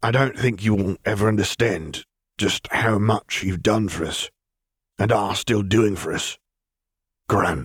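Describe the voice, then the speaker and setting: In a put-on character voice, a man talks at a fairly slow pace with ordinary pitch variation and long, frequent pauses, the sound dry and close with no echo. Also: fairly low pitch for a man. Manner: reserved, slightly nervous, heartfelt.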